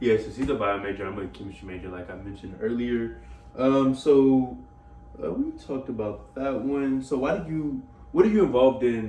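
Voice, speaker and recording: Speaking at a moderate pace with lively intonation and a medium-pitched voice, a man gets much louder and softer by turns. Noticeable background noise and audible room echo fill the recording. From Louisiana (Lake Charles). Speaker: college student interviewer. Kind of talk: casual interview.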